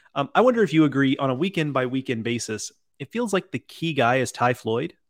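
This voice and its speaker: A man with an American accent and an ordinary speaking voice talks at a fairly quick pace and medium pitch, the sound dry and close with no echo on a very clean recording with a silent background. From Texas. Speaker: podcast host. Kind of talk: casual interview.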